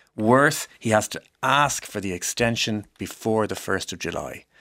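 A man with an Irish accent speaks with a fairly low pitch and ordinary pitch variation, in a very clean recording with a silent background. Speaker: law professor. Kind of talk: panel discussion.

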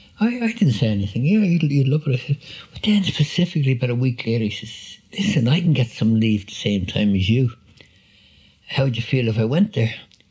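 A man with a Dublin accent talks at a fairly quick pace, his medium-pitched voice making very wide pitch swings. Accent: Dublin Irish. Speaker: army veteran. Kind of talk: personal testimony and video call conversation. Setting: video call. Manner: halting.

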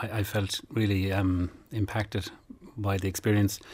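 With a Kerry accent, a man speaks in a somewhat breathy voice, his intonation fairly even. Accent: Kerry Irish. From Ireland, North Kerry. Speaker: traditional accordion player. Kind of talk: radio interview. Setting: studio.

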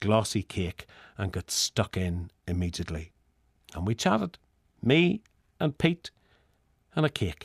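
A man with a Northern Irish accent speaks at a fairly slow pace, with very wide pitch swings and long, frequent pauses. The sound is dry and close with no echo, and the background is quiet. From Northern Ireland. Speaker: essayist. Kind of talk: scripted narration.

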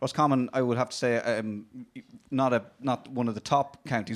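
This is a man's voice. He speaks with a Dublin accent. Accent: Irish (Dublin). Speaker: radio host and debate referee. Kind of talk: heated debate moderating. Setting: studio with audience, boxing ring. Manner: energetic, quick-witted, jokey.

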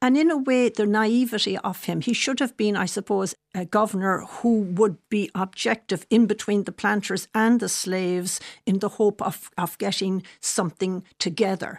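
A woman of medium pitch speaks at a moderate pace with ordinary pitch variation and hardly any pauses, the sound dry and close with no echo against a quiet background. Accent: Irish. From Ireland. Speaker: author and biographer. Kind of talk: radio interview.

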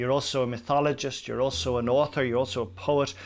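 Speaking at a very fast pace with an Irish accent, a man is heard on a very clean recording with a silent background. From Ireland. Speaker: radio presenter. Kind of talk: documentary interview.

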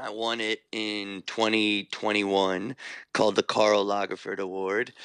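A man in a New York accent, fairly low and monotone, at a very slow pace, in a dry, close sound with no echo. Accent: New York American. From New York, US (Irish parents). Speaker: fashion designer. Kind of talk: radio interview. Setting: remote line from New York.

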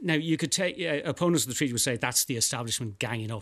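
A man with an Irish accent speaks at a very fast pace, his pitch varying in an ordinary way. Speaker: historian or broadcaster on the treaty centenary. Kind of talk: radio interview.

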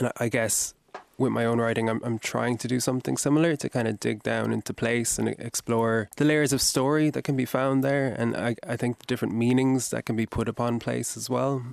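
A man's medium-pitched voice in a Kerry accent, fairly quick in pace, with fairly even intonation and a dry, close sound with no echo. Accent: Kerry Irish. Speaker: novelist. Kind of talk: radio interview. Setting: studio.

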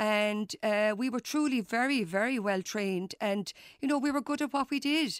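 A woman with a Cork accent at a moderate pace, fairly high in pitch with ordinary pitch variation and very even loudness, on a very clean recording with a silent background and a dry, close sound with no echo. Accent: Cork Irish. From Ireland, West Cork. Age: 50s. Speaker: public health nurse. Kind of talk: casual interview.

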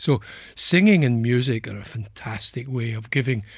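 A somewhat breathy male voice at a moderate pace, with ordinary pitch variation, in a very clean recording with a silent background. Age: 70s. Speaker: clinical psychologist. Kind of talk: radio interview. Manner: halting.

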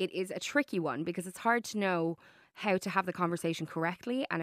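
In an Irish accent, a woman speaks with ordinary pitch variation on a very clean, dry, close recording with no echo and a silent background. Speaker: radio host. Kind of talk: radio interview. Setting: radio studio.

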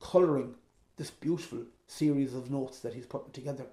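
In an Irish accent, a man speaks with a fairly high pitch. His tone is dark, mellow and somewhat breathy. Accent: Mayo Irish. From Ireland, County Mayo. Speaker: traditional musician and composer. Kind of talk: interview.

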